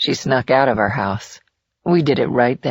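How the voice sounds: A quiet background lies behind a natural reading voice.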